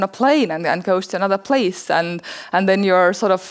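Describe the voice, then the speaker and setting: A woman speaks in an Estonian accent. Her pitch is medium and her pace moderate. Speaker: anthropologist and documentary filmmaker. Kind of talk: conference talk; audience Q&A answer. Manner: halting, repeats words.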